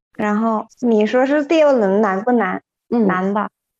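A woman speaks with a Thai accent and ordinary pitch variation. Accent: Thai-accented Mandarin. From Thailand, Chiang Mai. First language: Thai (speaking Chinese). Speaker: Chinese translator. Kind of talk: casual chat. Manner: laughs often.

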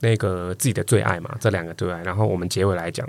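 Fairly low pitch from a man, with ordinary pitch variation. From Taiwan, Kaohsiung. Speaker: guest co-host, podcaster. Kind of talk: casual chat. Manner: animated, laughing often.

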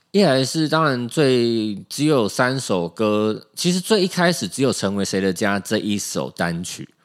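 With a Taiwanese accent, the speaker uses very wide pitch swings and hardly any pauses. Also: man, medium pitch for a man, fairly slow pace. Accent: Taiwanese Mandarin. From Taiwan, Keelung. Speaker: musician. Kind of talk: casual chat. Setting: studio.

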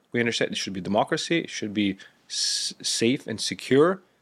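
In a very clean recording with a silent background, a man speaks at a moderate pace. He has a Lithuanian accent. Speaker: former defense official. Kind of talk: interview.

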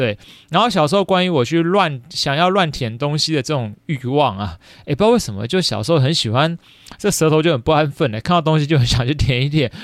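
Speaking at a very fast pace, a man with a Taiwanese accent has a fairly high pitch and lively intonation. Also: very clean recording, silent background. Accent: Taiwanese Mandarin. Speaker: podcast host, elementary school teacher. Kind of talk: casual solo chat. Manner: many fillers, chatty.

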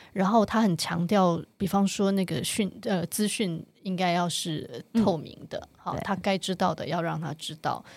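An unremarkable speaking voice from a woman at medium pitch, fairly slow pace, ordinary pitch variation and hardly any pauses, on a very clean recording, silent background. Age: 50s. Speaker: author and activist. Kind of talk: interview.

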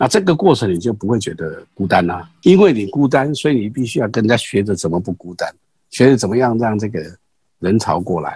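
A man with a Taiwanese accent, dark and mellow in tone, somewhat breathy, with lively intonation. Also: medium pitch for a man, fairly quick pace. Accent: Taiwanese Mandarin. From Taiwan, Pingxi (New Taipei). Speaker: street performer and grass-weaving craft artist, retired executive. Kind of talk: casual interview. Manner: halting with many fillers and repetitions.

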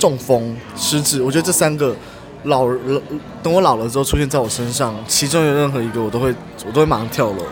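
Over music in the background and audible room echo, a man talks at a very fast pace with a medium pitch and ordinary pitch variation. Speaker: podcast guest. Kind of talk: casual chat. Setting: coffee shop.

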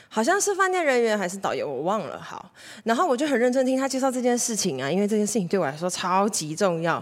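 A woman speaks loudly at a very fast pace, with a fairly high pitch. Her tone is animated, with very wide pitch swings. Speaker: podcast host. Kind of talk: casual monologue. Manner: animated, frequent loud laughter.

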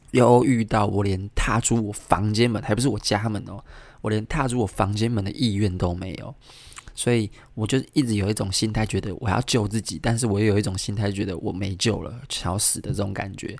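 A soft-spoken man with a fairly low pitch and fairly even intonation. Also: fairly quick pace. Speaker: podcast host. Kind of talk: casual solo monologue. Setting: home apartment room, recorded near midnight. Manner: soft-spoken, keeps voice low late at night.

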